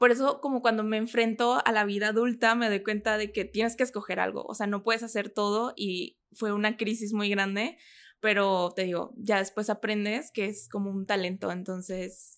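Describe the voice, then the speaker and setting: Delivered at a moderate pace with hardly any pauses, a normal speaking voice carries fairly even intonation over a very clean recording with a silent background. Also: woman, fairly high pitch for a woman. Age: 20s. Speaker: model and content creator. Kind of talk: interview.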